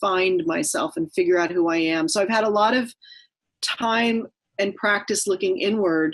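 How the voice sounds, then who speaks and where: Speaking at a moderate pace, a woman has a normal speaking voice of medium pitch with ordinary pitch variation. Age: 50s. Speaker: author and storyteller. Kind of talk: interview.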